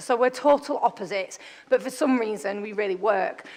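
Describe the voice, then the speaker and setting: A woman is speaking. She has a Yorkshire accent. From northern England, Bradford. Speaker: startup founder and CEO. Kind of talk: conference talk. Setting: stage with audience. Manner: loud; fast.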